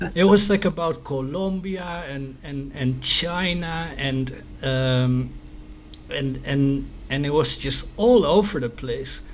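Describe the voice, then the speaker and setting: Amid noticeable background noise and audible room echo, a man with a Dutch accent speaks very slowly in a fairly high pitch with ordinary pitch variation. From Netherlands. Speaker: news site host. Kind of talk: interview. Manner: halting.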